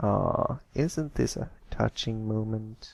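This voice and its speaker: A man puts on a character voice at medium pitch, talking at a very slow pace with hissing. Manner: mocking, sly.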